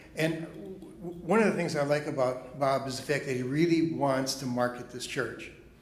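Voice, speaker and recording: At a moderate pace, the speech keeps a fairly even intonation, with audible echo from the room. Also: man. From Chicago. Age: 70s. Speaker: pastor. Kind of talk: speech at a congregation meeting. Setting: church.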